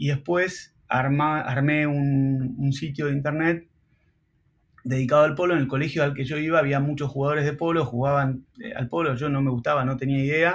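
This man has a fairly high pitch and a somewhat breathy voice. He speaks at a moderate pace with fairly even intonation. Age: 40s. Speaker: entrepreneur and marketing professor. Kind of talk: casual interview.

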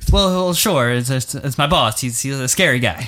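A man puts on a shaky character voice at medium pitch, speaking at a fairly slow pace with lively intonation. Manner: shaky, nervous, unsure.

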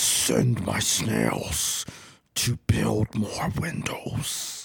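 A man puts on a raspy, booming character voice. He speaks at a very slow pace.

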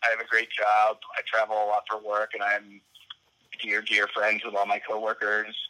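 In a dry, close sound with no echo, a man with a fairly low pitch speaks at a moderate pace in a flat monotone. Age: 30s. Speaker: attorney. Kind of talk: casual chat.

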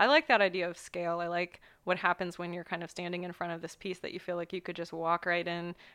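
A woman's very fast, monotone, flat delivery with hardly any pauses and big swings in loudness. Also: fairly low pitch for a woman. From US Midwest, Ohio. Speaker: visual artist, painter. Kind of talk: interview conversation.

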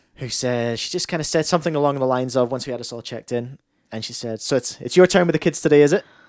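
A man's very fast speech in a Scottish accent, medium in pitch with ordinary pitch variation and big swings in loudness. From Scotland. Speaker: podcast host and former radio broadcaster. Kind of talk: casual chat.

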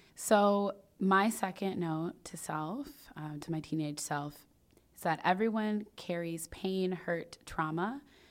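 A woman with a fairly low pitch, ordinary pitch variation and an American accent. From US suburbs. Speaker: podcast host and founder. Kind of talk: casual chat.

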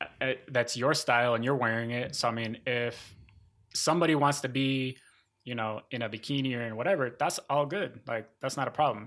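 Speaking in an ordinary speaking voice with an American accent, a man of medium pitch uses ordinary pitch variation. His pace is fairly quick, on a very clean recording with a silent background. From northern Mexico and US Midwest. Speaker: professor. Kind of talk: casual interview.

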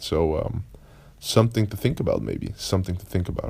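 A man with a fairly low voice speaks in a Dutch accent. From Netherlands. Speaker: podcast host, productivity coach. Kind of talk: casual solo monologue. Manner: halting, many fillers and repetitions.

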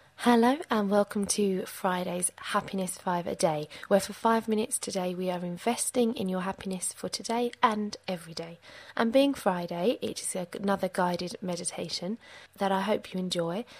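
A woman speaks in an ordinary speaking voice, medium in pitch with ordinary pitch variation. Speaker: meditation guide. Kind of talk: guided meditation. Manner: slow, soothing, calm; gentle, measured, with pauses.

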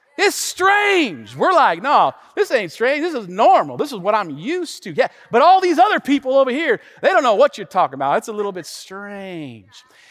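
An American-accented man speaks at a moderate pace in an extremely high pitch, with very wide pitch swings and big swings in loudness, in a dry, close sound with no echo and noticeable background noise. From US Pacific Northwest, Tacoma, Washington. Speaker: pastor. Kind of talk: sermon. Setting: church livestream. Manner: animated.

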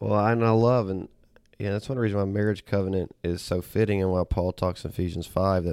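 Over a silent background in a very clean recording, a man with a Southern US accent speaks at a fairly quick pace, his very deep, low voice holding fairly even intonation. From US South, Auburn, Alabama. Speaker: pastor. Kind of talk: podcast Bible discussion.

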